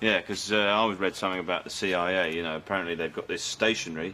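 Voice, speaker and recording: A man's very deep, low voice with fairly even intonation, over light background noise. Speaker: actor. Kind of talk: sitcom dialogue. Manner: distracted, hesitant. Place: shop.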